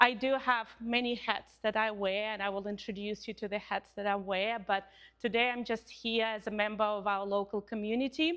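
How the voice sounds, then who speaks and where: The speaker has a Russian accent and talks at a moderate pace with fairly even intonation and hardly any pauses. The background is quiet. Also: woman, fairly high pitch for a woman. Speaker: couples counsellor and university lecturer. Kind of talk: community talk. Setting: Pilates studio with live audience.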